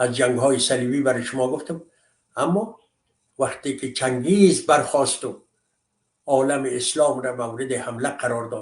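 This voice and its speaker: Somewhat breathy delivery in an Afghan accent. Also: man. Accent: Afghan Dari. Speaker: commentator. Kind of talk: monologue commentary. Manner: impassioned.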